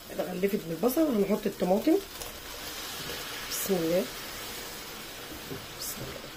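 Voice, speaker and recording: Noticeable background noise surrounds a woman with an Egyptian accent and a medium pitch. She speaks at a fairly slow pace with lively intonation and long, frequent pauses. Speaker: cooking channel host. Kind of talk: cooking tutorial.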